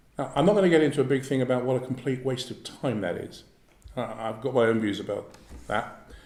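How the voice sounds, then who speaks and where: In a London accent, a man talks at a very fast pace. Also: medium pitch for a man, ordinary pitch variation. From South East London. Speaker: former fraud squad police officer. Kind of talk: public talk with Q&A.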